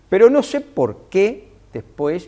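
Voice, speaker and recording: The man's tone is dark and mellow, and his intonation is lively. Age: 60s. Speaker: business leader. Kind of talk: interview anecdote. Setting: hotel interview for TV. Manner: halting, many self-corrections and repetitions.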